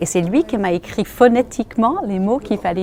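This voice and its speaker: A woman with an English accent speaks with ordinary pitch variation over noticeable background noise. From United States. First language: English (speaking French). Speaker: radio host. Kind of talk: interview testimony.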